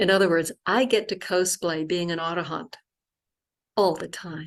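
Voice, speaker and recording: This woman has an unremarkable speaking voice, talking at a moderate pace with ordinary pitch variation against a quiet background. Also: fairly low pitch for a woman, big swings in loudness. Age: 60s. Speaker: Buddhist nun. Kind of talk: online talk reading from prepared notes.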